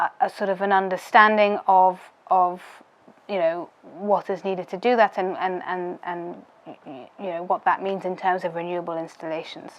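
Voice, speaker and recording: With a British accent, a woman of medium pitch speaks in a monotone, flat intonation, leaving long, frequent pauses. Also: moderate pace. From United Kingdom. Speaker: policy adviser. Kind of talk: interview answer.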